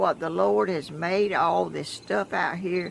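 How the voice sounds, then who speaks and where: A woman talks in a Southern US accent. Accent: Southern US (Georgia). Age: 80s+. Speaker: vlogger. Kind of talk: casual chat. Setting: outdoors. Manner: halting.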